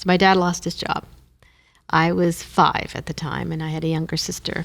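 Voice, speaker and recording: A woman's fairly low voice in a Canadian Maritime accent, monotone and flat, at a moderate pace. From Moncton, New Brunswick, Canada. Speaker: former government commissioner. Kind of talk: interview.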